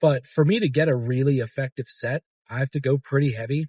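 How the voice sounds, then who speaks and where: The man's medium-pitched voice is somewhat breathy, with a dry, close sound and no echo. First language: Arabic. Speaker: fitness vlogger. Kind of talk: casual vlog chat. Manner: hesitant, many fillers.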